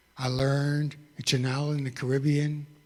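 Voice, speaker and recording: A somewhat breathy man with an American accent and a fairly high pitch. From New York. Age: 60s. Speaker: testimony speaker. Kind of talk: testimony.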